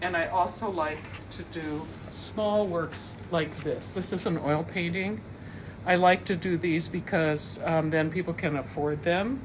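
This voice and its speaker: Fairly slow female speech, fairly low in pitch with ordinary variation, set against audible room echo. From US Midwest, Minnesota. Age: 70s. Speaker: painter. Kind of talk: studio tour talk. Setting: artist's studio. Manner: halting, many fillers.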